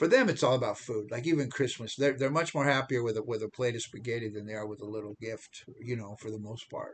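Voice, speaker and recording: A man with an American accent, medium pitch and a somewhat breathy voice, fairly even intonation and a very fast pace, over a quiet background. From United States. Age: 70s. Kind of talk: casual vlog monologue. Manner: halting, many repetitions and restarts.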